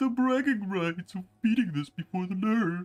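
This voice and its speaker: Someone uses a put-on character voice at a middle pitch and a moderate pace. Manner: stammering.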